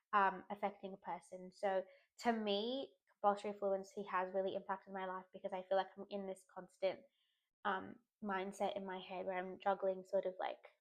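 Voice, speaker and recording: Her intonation is monotone and flat. The woman speaks at a moderate pace and a medium pitch. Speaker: person who stutters, content creator. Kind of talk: personal reflection monologue. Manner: hesitant, many fillers; repetitions on sounds.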